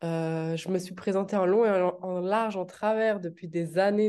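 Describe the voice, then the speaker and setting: Against a quiet background, a woman with a dark, mellow tone talks at a fairly slow pace with fairly even intonation. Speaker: entrepreneur and investor. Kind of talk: interview podcast.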